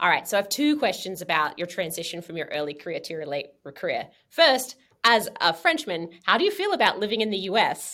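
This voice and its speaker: A woman with an Australian accent, medium pitch and a bright, sharp, animated tone, at a fairly quick pace with very wide pitch swings and big swings in loudness. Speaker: podcast host, astronomer. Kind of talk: interview.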